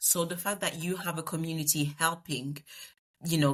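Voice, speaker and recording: Speaking with a Congolese accent, a woman uses a very deep, low pitch and fairly even intonation at a moderate pace. The recording is very clean with a silent background. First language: Lingala. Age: 30s. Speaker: project manager. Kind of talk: podcast interview. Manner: eloquent.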